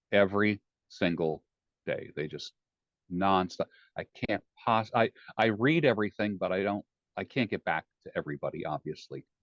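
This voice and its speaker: A man talks at a moderate pace with a fairly low pitch and lively intonation, leaving long, frequent pauses. The sound is dry and close, with no echo. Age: 60s. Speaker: life coach. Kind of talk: interview. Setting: podcast. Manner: direct.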